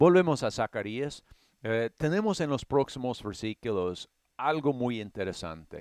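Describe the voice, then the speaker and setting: A man with an English accent at a fairly slow pace, very wide pitch swings, dry and close with no echo, in a very clean recording with a silent background. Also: medium pitch for a man. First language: English (speaking Spanish). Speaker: Bible teacher. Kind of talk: Bible study lecture. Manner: halting, with fillers and restarts.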